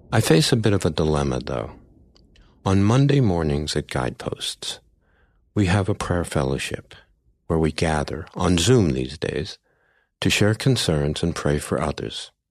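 Against a quiet background, a man speaks at a very deep, low pitch with vocal fry. His pitch swings very widely, broken by long, frequent pauses. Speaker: sleep story narrator. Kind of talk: guided sleep meditation, gentle first-person nature story. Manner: slow, soft-spoken, soothing and calm.

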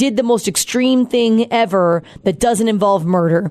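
Lively intonation marks this woman's speech. She has a plain, everyday voice at a medium pitch. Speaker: departing radio show co-host. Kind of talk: casual emotional farewell chat. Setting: radio studio. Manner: emotional, chatty.

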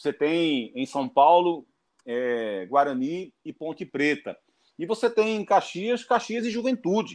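Against a quiet background, a man with a high pitch talks at a fairly slow pace, his pitch swinging very widely. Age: 40s. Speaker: football pundit. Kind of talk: interview.

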